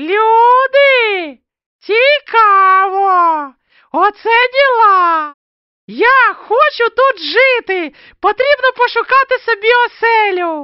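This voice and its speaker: In a cartoonish character voice, the speaker uses an extremely high pitch at a very slow pace. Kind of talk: homemade cartoon voice. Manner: cocky, excitable.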